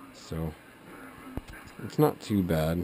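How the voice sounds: Speaking at a very slow pace, a man uses a low pitch and a dark, mellow tone, with lively intonation.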